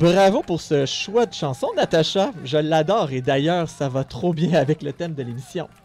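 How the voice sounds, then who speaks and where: With music in the background, a man at a fairly high pitch talks at a fairly slow pace with hardly any pauses and ordinary pitch variation. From Montreal, Quebec. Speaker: radio co-host, health network development officer. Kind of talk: scripted radio show presentation. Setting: radio studio.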